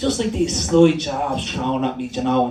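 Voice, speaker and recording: A man with a Dublin accent, animated in tone and lively in intonation, amid noticeable background noise and audible room echo. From Dublin, Ireland. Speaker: performance poet. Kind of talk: poetry performance. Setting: stage with audience.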